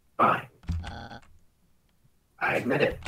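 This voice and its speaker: A man puts on a raspy character voice. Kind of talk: dramatic fandub reading. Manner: pompous, dramatic, then confessional.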